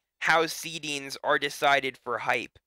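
A man with a fairly high pitch and a bright, sharp tone is heard on a very clean recording with a silent background and a dry, close sound with no echo. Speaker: esports caster. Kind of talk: live commentary. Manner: animated.

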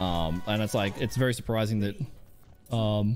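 Light background noise can be heard. Over it, a man speaks at a fairly quick pace. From Australia, Adelaide. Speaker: gaming streamer. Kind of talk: casual chat. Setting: live stream. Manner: loud; animated. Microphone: studio mic.

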